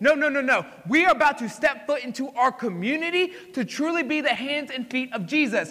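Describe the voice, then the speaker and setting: A man with an extremely high pitch speaks in a raised, projected voice at a moderate pace with lively intonation. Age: 20s. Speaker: pastor. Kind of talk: sermon. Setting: church. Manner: animated.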